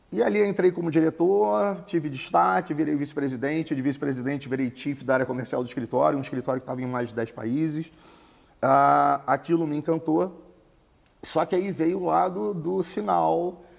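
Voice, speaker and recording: With a Carioca accent, a man speaks at a fairly high pitch. His intonation is lively. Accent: Carioca (Rio de Janeiro) Portuguese. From Rio de Janeiro, Brazil. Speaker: immigration consultancy founder. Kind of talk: interview. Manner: conversational.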